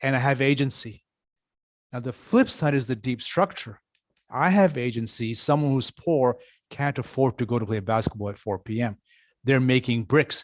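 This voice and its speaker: A man in an ordinary speaking voice with ordinary pitch variation at a moderate pace, dry and close with no echo, on a very clean recording with a silent background. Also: medium pitch for a man. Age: 60s. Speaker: futurist panelist. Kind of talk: panel discussion.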